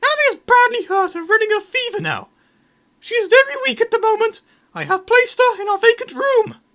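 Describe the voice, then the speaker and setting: Someone speaks in a put-on character voice that is squeaky and extremely high in pitch. The pace is fairly quick. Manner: nagging, motherly.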